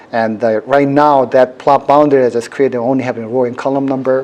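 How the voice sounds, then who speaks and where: With noticeable background noise behind him, a man at medium pitch speaks fairly quickly in a monotone, flat intonation. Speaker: university professor, workshop instructor. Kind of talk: technical workshop tutorial. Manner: fast.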